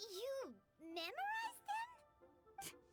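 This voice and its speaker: Faint music plays behind a woman doing a put-on character voice. It is squeaky and extremely high-pitched. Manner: incredulous, questioning.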